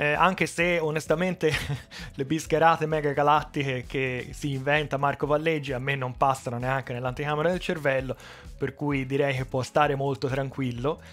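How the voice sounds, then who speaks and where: Faint music sits behind a man with a Tuscan accent. His pitch is fairly high, his pace moderate and his intonation fairly even. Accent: Tuscan Italian. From Italy, Tuscany. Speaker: electronics repair youtuber; tech YouTuber. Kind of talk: casual vlog address. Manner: unscripted, with fillers and restarts. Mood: friendly, light humor. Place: workshop. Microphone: headset.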